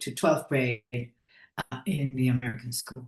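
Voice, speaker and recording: Speaking very slowly with a Spanish accent, a woman sounds somewhat breathy. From Ecuador. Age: 70s. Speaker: breathwork trainer. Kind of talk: interview. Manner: halting.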